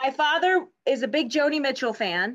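At a very slow pace, a woman speaks at a high pitch with ordinary pitch variation. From Pennsylvania (Pittsburgh, later Harrisburg). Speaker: TV news reporter. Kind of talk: casual chat. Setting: video call.

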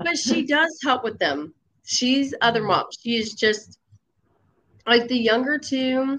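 Delivered at a fairly slow pace, this is a plain, everyday voice. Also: woman. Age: 30s. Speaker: mother sharing her story. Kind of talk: casual interview. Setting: live online call.

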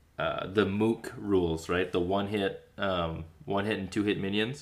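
A plain, everyday voice talks with an American accent at a fairly slow pace. Its pitch variation is ordinary. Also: man. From Minnesota, small town. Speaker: podcast host. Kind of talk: casual interview chat.

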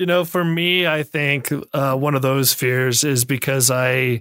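Fairly high in pitch, a man speaks at a fairly slow pace with a bright, sharp tone in a dry, close sound with no echo. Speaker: podcast host. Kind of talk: moderated interview conversation. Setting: video call with remote guests.

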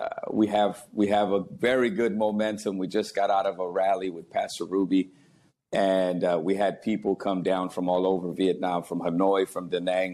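With an American accent, a man speaks at a moderate pace in a very deep, low voice that is dark and mellow, his intonation monotone and flat. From Texas, San Antonio. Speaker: pastor. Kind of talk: testimony.

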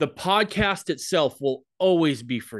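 A man with a normal speaking voice and a fairly high pitch talks with lively intonation against a quiet background. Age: 40s. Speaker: podcast host. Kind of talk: casual chat. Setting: video call.

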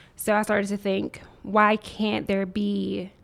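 In an American accent, a medium-pitched woman speaks with monotone, flat intonation and vocal fry. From US South, Nashville, Tennessee. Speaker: tech entrepreneur. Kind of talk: interview.

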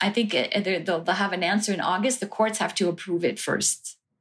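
Medium pitch from a woman with a Quebec accent, fairly even intonation, and a very clean recording with a silent background. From Montreal, Quebec. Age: 50s. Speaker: cancer patient and plaintiff. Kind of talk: interview testimony. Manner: hesitant, with fillers.

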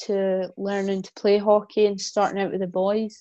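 Dark and mellow in tone, a woman talks in a Scottish accent. Her intonation stays monotone and flat. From Scotland. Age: 20s. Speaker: hockey player and influencer. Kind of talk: casual interview chat. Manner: trying to speak proper, more formal than usual.

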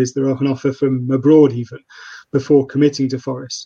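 Delivered at a very fast pace in an East Midlands accent, the voice has a dark, mellow tone and a monotone, flat intonation. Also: man. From Nottingham, England. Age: 30s. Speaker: freelance journalist and football fan. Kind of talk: casual football podcast interview. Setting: live streamed remote call.

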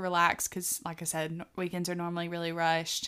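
Over a silent background in a very clean recording, a woman talks at a fairly quick pace with a slight Southern US accent. Her voice is medium in pitch with a bright, sharp tone. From US South. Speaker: podcast co-host. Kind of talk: casual chat.

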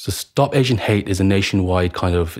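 A man with a Birmingham accent speaks at a very fast pace in a very deep, low voice, with ordinary pitch variation. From Birmingham, England (Handsworth). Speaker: activist, student and former soldier. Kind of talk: interview.

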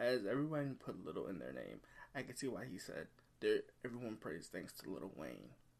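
Speaking at a fairly quick pace, a man uses lively intonation at a medium pitch. His voice carries vocal fry. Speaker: music podcast host. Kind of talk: casual album review monologue. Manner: halting, with frequent fillers and restarts.

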